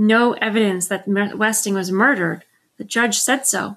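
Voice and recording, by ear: Someone is reading aloud in a natural voice with fairly even intonation against a quiet background.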